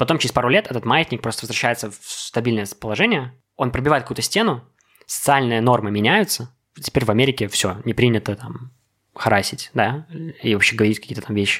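Very fast and with big swings in loudness, a man talks at a medium pitch. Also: ordinary pitch variation. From Belarus. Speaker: podcast guest. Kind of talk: casual chat.

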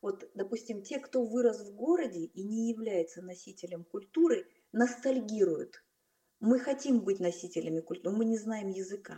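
Somewhat breathy, a woman speaks at a fairly high pitch and a moderate pace with lively intonation. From Kazakhstan, Almaty. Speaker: film director. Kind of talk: casual interview. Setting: call.

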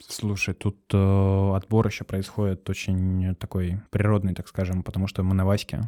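In a dry, close recording with no echo, a man with a dark, mellow, fairly low-pitched voice speaks in a flat monotone, with hardly any pauses. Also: moderate pace, very clean recording, silent background. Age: 20s. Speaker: cafe owner. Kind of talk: casual interview.

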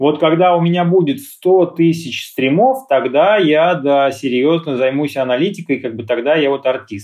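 Using an unremarkable speaking voice, a man talks at a moderate pace with hardly any pauses, his fairly high pitch varying in an ordinary way. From Russia, Lipetsk region. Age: 40s. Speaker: music producer. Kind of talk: interview. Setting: live stream.

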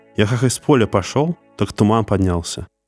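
A man's voice with ordinary pitch variation in a very clean recording with a silent background. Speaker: podcast host. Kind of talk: horror storytelling narration. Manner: measured, suspenseful storyteller pacing; grim, ominous tone building dread.

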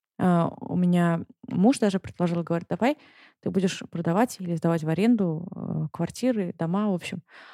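A woman speaks at a moderate pace in a fairly low pitch. Her tone is dark and mellow, with ordinary pitch variation. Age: 20s. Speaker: stay-at-home mother living abroad. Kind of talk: casual interview chat.

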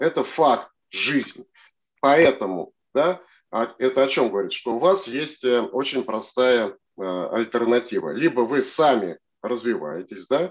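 Very slow pace, long and frequent pauses and lively intonation over a quiet background. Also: man, medium pitch for a man. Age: 60s. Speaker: operations consultant and MBA lecturer. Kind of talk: expert interview. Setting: studio.

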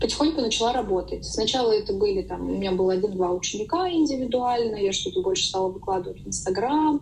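A fairly quick speaker talks over noticeable background noise. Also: woman. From Saint Petersburg, Russia. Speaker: yoga teacher. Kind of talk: interview.

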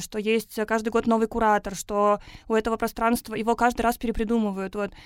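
At a moderate pace, a woman speaks in a flat monotone with a fairly high pitch. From Russia, Tatarstan (Naberezhnye Chelny). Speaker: urban education program producer. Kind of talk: podcast interview. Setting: studio.

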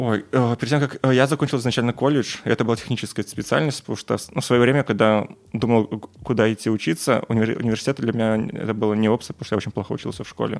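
A man with a medium pitch at a very fast pace and fairly even intonation. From Belarus. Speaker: software engineer. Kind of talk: casual chat. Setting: at home.

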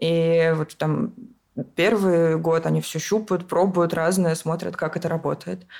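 A woman at a fairly slow pace with monotone, flat intonation. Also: fairly low pitch for a woman. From Moscow region, Russia. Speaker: event organizer. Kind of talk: casual chat.

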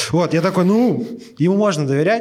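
Lively intonation at a moderate pace comes through over noticeable background noise. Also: man. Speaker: podcast host. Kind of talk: storytelling. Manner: animated.

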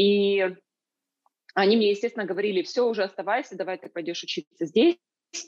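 A woman's medium-pitched, normal speaking voice with ordinary pitch variation, in a dry, close sound with no echo. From Ukraine, Kyiv. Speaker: entrepreneur and online school producer. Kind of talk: interview conversation. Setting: video call.

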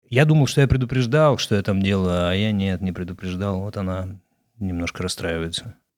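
Fairly low in pitch, a man speaks at a fairly quick pace. His pitch varies in an ordinary way. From Russia, Izhevsk. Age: 40s. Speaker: actor. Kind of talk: interview. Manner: halting.

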